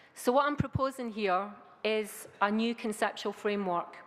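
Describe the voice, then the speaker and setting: A woman with a Scottish accent. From Scotland. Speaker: academic researcher. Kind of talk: conference talk. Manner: hesitant fillers.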